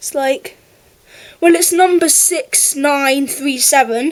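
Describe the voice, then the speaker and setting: With an English accent, a woman speaks at a high pitch and with fairly even intonation. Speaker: model railway YouTuber. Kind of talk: product review.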